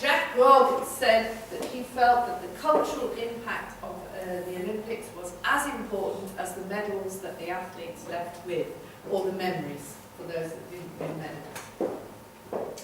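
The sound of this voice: A woman speaks at a fairly slow pace in a medium pitch with a fairly bright tone and ordinary pitch variation, with audible room echo.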